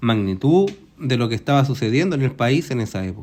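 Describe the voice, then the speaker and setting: An unremarkable speaking voice at a moderate pace, in a very clean recording with a silent background. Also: man. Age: 60s. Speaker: retiree, eyewitness to history. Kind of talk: interview.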